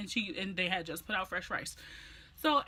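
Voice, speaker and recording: A loud woman's voice, animated and bright with a sharp tone, medium in pitch with ordinary pitch variation. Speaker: beauty and lifestyle vlogger. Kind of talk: story time vlog.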